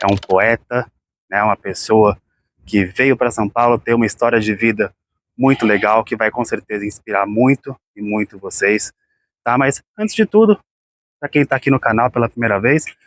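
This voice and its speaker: The sound is dry and close with no echo as a man talks at medium pitch. His pace is moderate, broken by long, frequent pauses. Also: fairly even intonation. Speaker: YouTube channel host and interviewer. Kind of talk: casual talk to camera.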